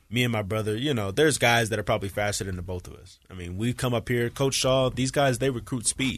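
A man speaks at a very fast pace in an animated tone. His loudness swings widely. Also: medium pitch for a man, ordinary pitch variation. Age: 20s. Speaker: college football player and podcast co-host. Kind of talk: casual chat. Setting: studio.

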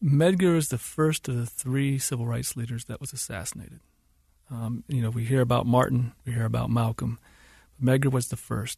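A man speaks at a moderate pace with a medium pitch and ordinary pitch variation, in an American accent. His tone is dark and mellow, and somewhat breathy. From US South. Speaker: filmmaker. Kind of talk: interview. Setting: studio.

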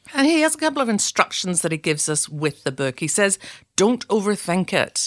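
With a Northern Irish accent, a woman speaks at a fairly quick pace with very wide pitch swings, in a dry, close sound with no echo. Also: quiet background. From Northern Ireland, Belfast. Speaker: leadership trainer. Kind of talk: scripted narration.

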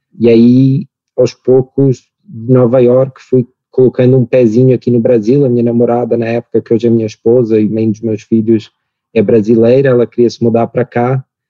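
The man has a European Portuguese accent. His intonation is monotone and flat. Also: medium pitch for a man, moderate pace. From Portugal. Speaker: startup founder and CEO. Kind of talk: interview.

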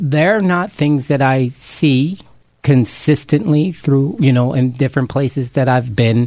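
A man with an American accent speaks in an unremarkable speaking voice, pitched fairly high, with ordinary pitch variation. His pace is fairly slow and his loudness stays very even. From Camden, New Jersey. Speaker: chef and urban farm founder. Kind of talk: interview.

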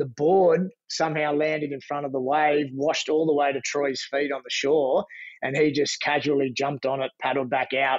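A man with an Australian accent, fairly high pitch and monotone, flat intonation. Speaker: lifeguard. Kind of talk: casual storytelling.

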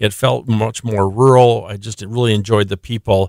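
A man with an Upper Midwest accent speaks at a fairly low pitch. The sound is dry and close, with no echo. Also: very clean recording, silent background. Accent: Upper Midwest American. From South Dakota. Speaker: nonprofit founder and author. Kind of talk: radio interview.

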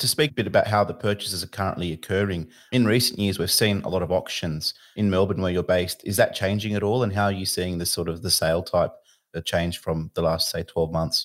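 Someone with an Australian accent talks very fast on a very clean recording with a silent background. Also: man, very deep, low pitch for a man, ordinary pitch variation. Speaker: podcast host, mortgage broker. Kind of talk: interview.

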